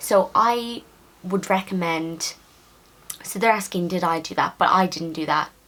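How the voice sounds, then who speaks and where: A woman's medium-pitched voice in a Dublin accent, with ordinary pitch variation, a fairly slow pace and long, frequent pauses. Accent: Irish (Dublin). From Ireland, Dublin. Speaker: nursing student vlogger. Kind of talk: casual Q&A vlog.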